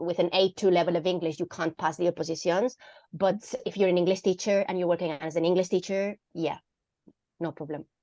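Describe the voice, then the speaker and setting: A woman speaks at a fairly quick pace. Her tone is dark and mellow. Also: dry, close sound with no echo. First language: Catalan or Spanish. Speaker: English teacher. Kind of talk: online Q&A session.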